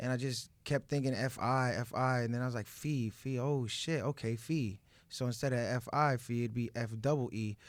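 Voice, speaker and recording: A man with an American accent and a normal speaking voice, medium in pitch, at a moderate pace with fairly even intonation and hardly any pauses, on a very clean recording with a silent background. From US South, Orlando, Florida. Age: 20s. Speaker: rapper. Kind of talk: interview.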